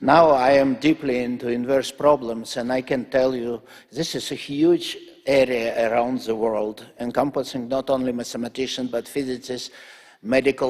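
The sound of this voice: Speaking fairly slowly, a man uses a slightly mellow tone and fairly even intonation.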